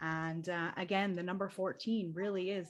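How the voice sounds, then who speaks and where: Speaking at a moderate pace, a woman uses a normal speaking voice, fairly low in pitch, with ordinary pitch variation. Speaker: spiritual event host. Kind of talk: online group panel discussion.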